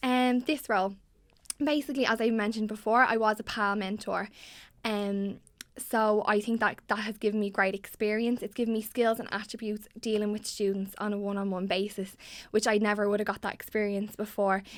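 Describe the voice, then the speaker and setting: With a Dublin accent, a woman talks in a monotone, flat intonation. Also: fairly high pitch for a woman. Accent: Dublin Irish. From Ireland, Dublin (Tallaght). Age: 20s. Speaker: student election candidate. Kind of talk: interview. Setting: studio. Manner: hesitant, many fillers.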